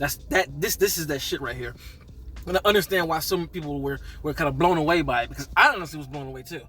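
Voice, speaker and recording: Music plays behind a man speaking in an animated tone. His pitch varies in an ordinary way. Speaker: movie reviewer. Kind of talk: casual video review. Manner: stuttering.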